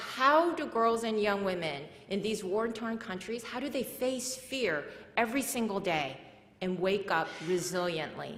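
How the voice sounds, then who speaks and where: A woman speaks with a Korean accent at a fairly slow pace, her intonation lively. Audible room echo carries her voice. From South Korea, moved to US at age eight. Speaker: nonprofit founder and speaker. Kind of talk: conference talk.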